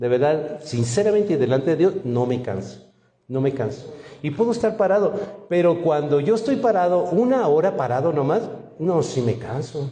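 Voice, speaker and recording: A man with a fairly high voice sounds animated, his pitch swinging very widely at a moderate pace, with audible room echo. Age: 60s. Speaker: pastor. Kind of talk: sermon.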